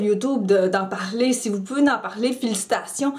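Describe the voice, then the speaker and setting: Ordinary pitch variation in a female voice with noticeable background noise behind it. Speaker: YouTuber, mental health vlogger. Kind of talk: personal vlog commentary. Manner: halting, many repetitions and fillers.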